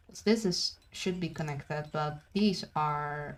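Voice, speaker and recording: A woman speaks with a very deep, low pitch and a somewhat breathy voice. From Brazil. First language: Portuguese. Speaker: video game streamer. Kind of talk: live gaming stream commentary. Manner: casual, halting with fillers.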